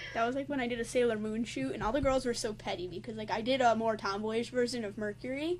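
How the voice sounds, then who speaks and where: Her pace is very fast, with hardly any pauses. The woman's pitch is fairly high, with ordinary variation. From New York / New Jersey area. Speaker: cosplay interviewer. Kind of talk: casual interview.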